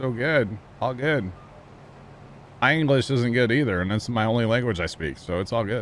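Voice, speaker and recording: Speaking with a Midwestern accent, a man keeps a medium pitch and ordinary pitch variation. He moves at a moderate pace with long, frequent pauses. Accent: rural Midwestern. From Midwest Missouri. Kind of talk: casual.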